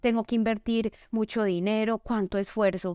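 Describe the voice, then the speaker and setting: A woman's dark, mellow voice at a fairly high pitch and moderate pace, dry and close with no echo, on a very clean recording with a silent background. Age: 30s. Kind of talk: faith-based testimony and advice in interview.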